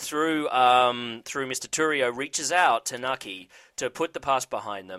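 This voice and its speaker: In an Australian accent, a man talks fairly slowly with a bright, sharp tone and ordinary pitch variation, the sound dry and close with no echo. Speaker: TV recap show host. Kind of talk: casual chat. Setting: studio.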